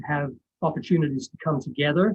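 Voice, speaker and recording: A man's somewhat breathy voice. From England, East End of London. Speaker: college English professor. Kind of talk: presentation. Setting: video call.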